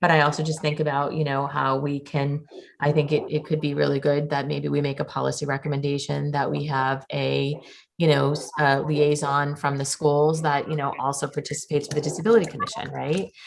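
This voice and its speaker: Her pitch very deep and low, a woman with a Boston accent speaks at a fairly quick pace in a monotone, flat way. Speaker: school committee member chairing subcommittee. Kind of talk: public meeting discussion.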